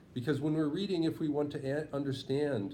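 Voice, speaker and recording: Audible room echo around a man's dark, mellow, somewhat breathy voice at a fairly quick pace. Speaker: writing tutor. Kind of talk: lesson. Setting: in person with two students.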